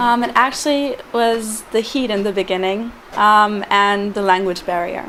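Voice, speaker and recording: A woman with a German accent, medium pitch, moderate pace and fairly even intonation, amid noticeable background noise. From Germany. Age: 20s. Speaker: intern abroad. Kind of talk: interview testimonial. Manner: hesitant with many fillers.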